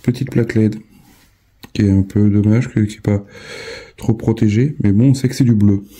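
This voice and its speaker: Long pauses come often, though the speech itself keeps a moderate pace. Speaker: model-building YouTuber. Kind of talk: tutorial. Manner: halting.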